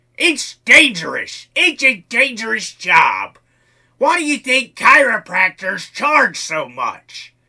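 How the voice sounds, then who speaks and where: A man's put-on character voice, extremely high in pitch, raised and projected, at a fairly slow pace. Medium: audio drama.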